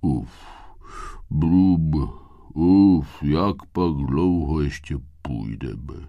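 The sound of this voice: Putting on a character voice, a man speaks very deep and low, with long, frequent pauses.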